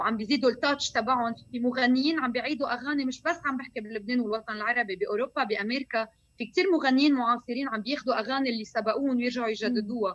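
A woman's high voice at a very fast pace, with hardly any pauses and ordinary pitch variation. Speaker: singer and actress. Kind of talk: interview. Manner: animated.

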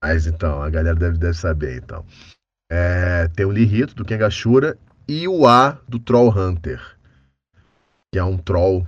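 At a moderate pace, a man speaks in a very deep, low voice that is somewhat breathy. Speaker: voice actor. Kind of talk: casual chat.

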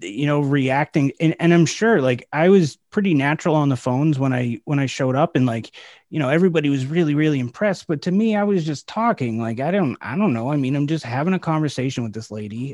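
Over a quiet background, a man talks at a fairly quick pace in an ordinary speaking voice, fairly high in pitch. His pitch varies in an ordinary way, and the sound is dry and close with no echo. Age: 30s. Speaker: sales podcast host. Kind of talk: casual chat.

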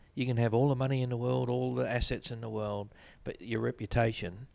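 The voice has a New Zealand accent and a dark, mellow tone, with fairly even intonation. The recording is very clean, with a silent background. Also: man. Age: 50s. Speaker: business executive. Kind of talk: interview. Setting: office.

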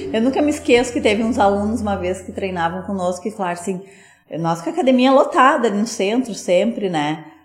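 Against noticeable background noise, a woman speaks fairly quickly at a medium pitch with lively intonation. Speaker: gym owner and physical educator. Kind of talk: casual interview chat.

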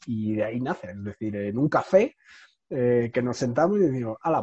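Speaking at a moderate pace, a man uses lively intonation and a medium pitch with a dark, mellow tone, the sound dry and close with no echo. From Spain, Madrid. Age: 30s. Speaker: entrepreneur. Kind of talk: interview conversation. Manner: halting, with frequent repetitions.

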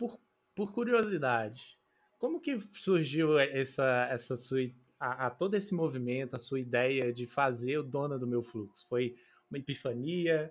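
On a very clean recording with a silent background, a man with an unremarkable speaking voice and medium pitch talks at a fairly slow pace with lively intonation. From Betim, Minas Gerais, Brazil. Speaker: podcast co-host. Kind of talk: interview.

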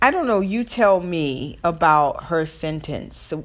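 With a Southern US accent, a woman speaks very slowly in a fairly low pitch and lively intonation. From US South. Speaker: podcast host. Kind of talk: solo podcast monologue.

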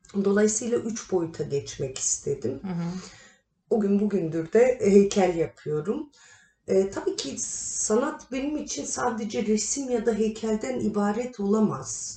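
Her voice sits at a medium pitch, and the woman talks at a fairly slow pace with very wide pitch swings. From Turkey, Kahramanmaraş; childhood partly in Germany. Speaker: artist, sculptor. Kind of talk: interview.

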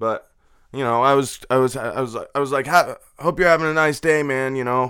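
This man talks at a fairly quick pace with ordinary pitch variation. His voice sits at a medium pitch, and the recording is very clean with a silent background. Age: 20s. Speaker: podcast host and delivery driver. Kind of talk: casual solo monologue. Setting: home studio. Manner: animated.

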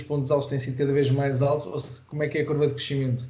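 With a European Portuguese accent, a man speaks in a somewhat breathy voice and monotone, flat intonation, with audible room echo. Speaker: podcast host and judo coach. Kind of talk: interview.

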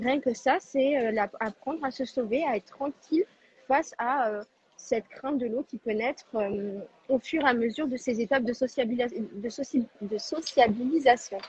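The sound is dry and close, with no echo. A woman speaks at a high pitch and a moderate pace, with ordinary pitch variation. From southern France, Tarn. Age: 20s. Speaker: nursing assistant. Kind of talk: live online debate.

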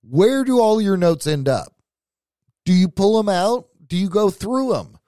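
In a very clean recording with a silent background, a man with a high pitch and dark, mellow tone speaks at a moderate pace with lively intonation. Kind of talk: angry rant, scolding listeners who hear but don't act. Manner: heated, emphatic, blunt and forceful, hammering each point.

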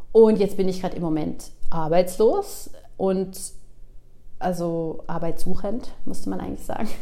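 Leaving long, frequent pauses, a woman speaks at a fairly slow pace. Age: 40s. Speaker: podcast host. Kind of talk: casual monologue. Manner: many filler sounds (ähm).

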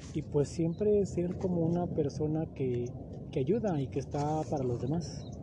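A man's fairly high, dark, mellow voice at a fairly slow pace, with ordinary pitch variation. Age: 30s. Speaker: podcast host. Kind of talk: solo motivational monologue. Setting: outdoors in a park.

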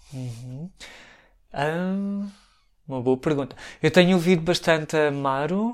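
A man with a European Portuguese accent speaks at a fairly slow pace with long, frequent pauses. His fairly high pitch shows ordinary variation on a very clean recording with a silent background. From Portugal, Santarém. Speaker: language teacher and storyteller. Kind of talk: interview. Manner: halting, many fillers.

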